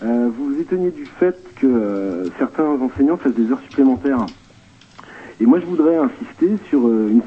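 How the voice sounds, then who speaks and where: Over noticeable background noise, a man with fairly high pitch talks at a moderate pace, his pitch swinging very widely. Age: 30s. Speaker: vocational high school teacher. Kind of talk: phone testimony on radio. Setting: phone call.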